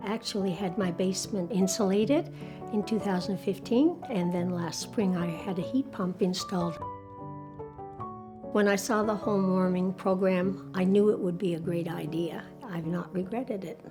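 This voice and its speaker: A woman talks at a medium pitch with music in the background. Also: ordinary pitch variation, moderate pace. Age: 70s. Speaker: retired widow, painter. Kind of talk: interview answer.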